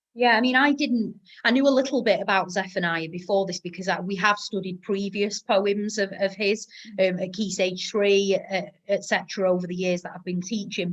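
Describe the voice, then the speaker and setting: Speaking with a northern English accent, a woman keeps a medium pitch, fairly even intonation and a fairly quick pace. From northern England. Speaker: teacher and podcast host. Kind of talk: casual chat.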